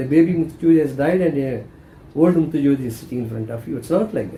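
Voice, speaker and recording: With a Tamil accent, a man talks at a fairly quick pace, his tone dark and mellow and his intonation lively. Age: 70s. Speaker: spiritual teacher. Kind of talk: spiritual talk.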